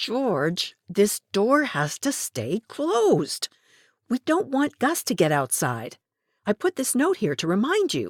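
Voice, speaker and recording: A put-on character voice sits at a fairly high pitch and sounds strained, moving at a fairly slow pace. The recording is very clean, with a silent background. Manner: tense, restrained irritation.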